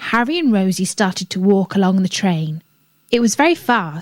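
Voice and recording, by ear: The text is read aloud in a natural voice. All around it is quiet.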